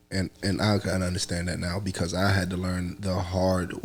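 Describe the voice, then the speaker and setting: A soft-spoken man with a very deep, low pitch talks at a moderate pace over music in the background. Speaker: rapper and music producer. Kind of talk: casual chat. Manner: soft-spoken, talks low.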